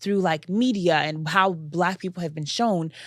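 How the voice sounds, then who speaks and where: A woman speaks in an unremarkable speaking voice, fairly low in pitch with ordinary pitch variation. Her pace is moderate, and the recording is very clean with a silent background. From US, Metro Atlanta (Nigerian-born, moved at four). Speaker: podcast host. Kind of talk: casual chat.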